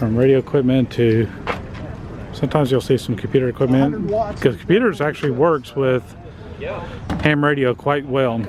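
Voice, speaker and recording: In a Texas accent, the speaker goes at a moderate pace with long, frequent pauses while noticeable background noise runs underneath. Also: man, medium pitch for a man, ordinary pitch variation. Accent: full Texas accent, soft T's. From Texas, northwest Dallas. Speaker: vlogger. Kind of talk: casual walk-around vlog commentary. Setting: outdoors at a ham radio expo. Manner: whispering at times.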